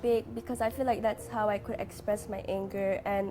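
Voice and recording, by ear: A woman talks at a moderate pace. Her pitch barely moves.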